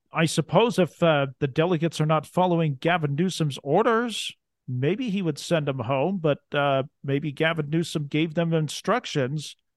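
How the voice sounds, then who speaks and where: A man's plain, everyday voice with an American accent, fairly high in pitch with ordinary pitch variation, at a moderate pace. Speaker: podcast host. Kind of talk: interview; scripted narration.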